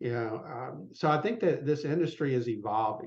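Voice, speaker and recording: A man in a Southern US accent speaks fairly slowly. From US South, south Mississippi. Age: 60s. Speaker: business consultant for law firms. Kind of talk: podcast interview. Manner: conversational, many fillers.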